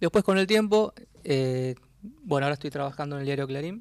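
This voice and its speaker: A fairly high-pitched man talks at a moderate pace in an unremarkable speaking voice. The recording is very clean with a silent background. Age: 40s. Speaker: journalist and author. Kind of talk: radio interview.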